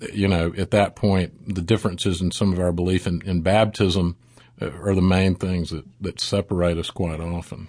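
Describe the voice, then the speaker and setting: A man with an American accent, very deep and low in pitch, at a moderate pace with monotone, flat intonation. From US South, South Mississippi. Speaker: pastor. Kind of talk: interview.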